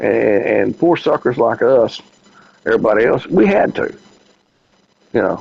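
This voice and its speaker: A man with a Southern US accent at a moderate pace, with long, frequent pauses. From US South, Memphis. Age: 60s. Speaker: podcast host. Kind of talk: casual chat. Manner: halting, many fillers.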